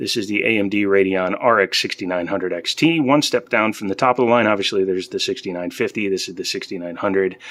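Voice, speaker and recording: Fairly quick delivery in a normal speaking voice, its pitch varying in an ordinary way. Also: man. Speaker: tech youtuber. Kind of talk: casual tech unboxing video. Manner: casual, with filler words.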